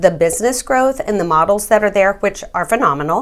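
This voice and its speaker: Speaking at a fairly quick pace, a woman with an American accent uses a medium pitch and ordinary pitch variation. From Texas. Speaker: real estate agent. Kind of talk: interview.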